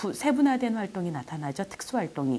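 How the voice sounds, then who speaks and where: A woman's dark, mellow voice with very wide pitch swings. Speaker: exam prep lecturer. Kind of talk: lecture.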